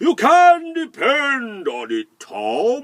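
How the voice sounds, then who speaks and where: The pitch sits high. It's a put-on character voice. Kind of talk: storybook voice. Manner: sunny, cheerful, assured.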